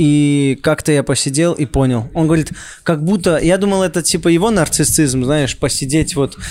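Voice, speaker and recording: A man with a normal speaking voice talks at a moderate pace. His pitch is fairly high, with ordinary variation. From Saint Petersburg. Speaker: comedian. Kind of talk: casual chat.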